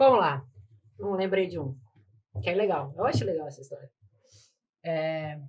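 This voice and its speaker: Somewhat breathy and very deep, low in pitch, a woman speaks with long, frequent pauses and big swings in loudness. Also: moderate pace. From Rio Grande do Sul, Brazil. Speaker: lawyer. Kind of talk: casual chat.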